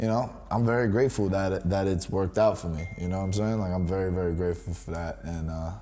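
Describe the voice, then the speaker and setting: A man with a New York accent talks at a very fast pace with hardly any pauses, using a very deep, low pitch and a dark, mellow tone. His pitch varies in an ordinary way, and audible room echo fills the recording. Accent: New York City. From New York City, Washington Heights. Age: 20s. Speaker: rapper. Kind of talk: casual interview.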